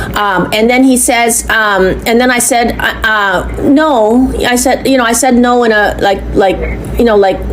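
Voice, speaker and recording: A woman speaks at a fairly slow pace with a fairly high pitch, fairly even intonation and very even loudness, with audible room echo. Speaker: complainant. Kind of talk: recorded phone complaint to police. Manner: halting.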